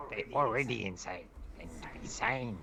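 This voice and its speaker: A man puts on a character voice and speaks at a moderate pace. Background noise is clearly audible. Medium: actual play.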